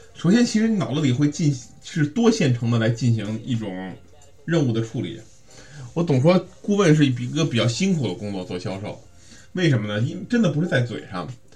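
A somewhat breathy man's voice, medium in pitch and dark and mellow in tone, at a fairly quick pace with very wide pitch swings. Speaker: sales coaching podcast host. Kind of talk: instructional monologue. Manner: casual with many fillers.

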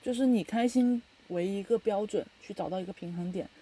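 At a moderate pace, the voice comes across dark and mellow in tone and somewhat breathy. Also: woman. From China. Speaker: podcast host. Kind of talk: casual chat.

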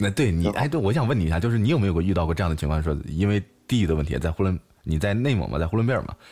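A man's very deep, low voice at a very fast pace, lively in intonation, with music in the background. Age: 20s. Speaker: live-stream radio host. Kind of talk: casual interview chat. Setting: live stream audio room.

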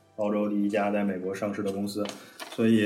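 There is noticeable background noise as a man speaks with a fairly low pitch. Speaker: data scientist, podcast co-host. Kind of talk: casual chat, sharing experience.

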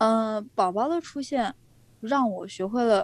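A woman's dark, mellow tone at a very slow pace. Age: 20s. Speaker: young mother, social media creator. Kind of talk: interview.

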